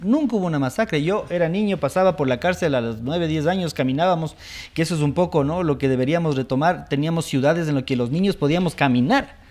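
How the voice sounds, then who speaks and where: A man talks at a very fast pace, fairly high in pitch, with ordinary pitch variation. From Ecuador, Latacunga (Andean highlands); Ecuador. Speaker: judge; TV show guest or host, lawyer. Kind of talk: TV interview. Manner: hesitant, many fillers. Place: studio. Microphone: lapel.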